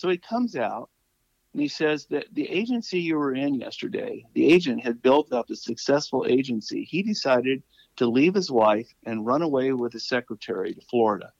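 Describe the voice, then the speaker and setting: Using very wide pitch swings, a man with an American accent and fairly high pitch for a man speaks at a moderate pace. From California. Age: 70s. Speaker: author and pastor. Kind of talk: casual interview, storytelling.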